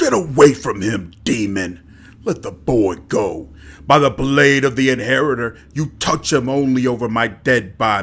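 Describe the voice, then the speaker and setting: A put-on character voice booms out. It keeps a moderate pace. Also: man, medium pitch for a man. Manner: commanding, defiant.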